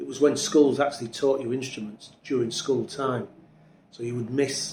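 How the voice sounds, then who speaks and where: This man speaks fairly quickly in a Yorkshire accent. His pitch is medium and his intonation fairly even. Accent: Yorkshire (Hull) English. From Hull, East Yorkshire, England. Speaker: drummer. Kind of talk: interview.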